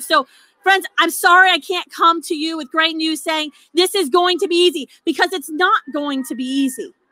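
With an extremely high pitch and a bright, sharp tone, a woman projects a raised voice at a moderate pace, showing ordinary pitch variation in a dry sound with no echo. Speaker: rally speaker. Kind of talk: rally speech. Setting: outdoor rally with crowd. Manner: rousing, fervent. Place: street. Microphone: podium.

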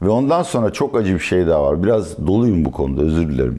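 A man's very deep, low voice with very wide pitch swings. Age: 60s. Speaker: economist and political analyst. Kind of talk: interview.

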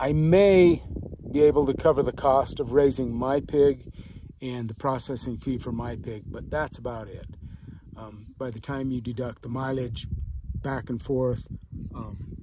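With long, frequent pauses and big swings in loudness, a man talks with ordinary pitch variation in a dry recording with no echo and noticeable background noise. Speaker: small farm vlogger. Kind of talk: casual vlog chat. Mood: relaxed, reflective. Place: boat. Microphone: phone near.

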